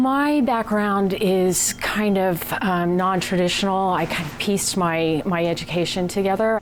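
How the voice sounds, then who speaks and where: A woman of medium pitch talks in a normal speaking voice at a fairly slow pace, with an American accent and ordinary pitch variation. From United States. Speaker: restaurant chef. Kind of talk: interview.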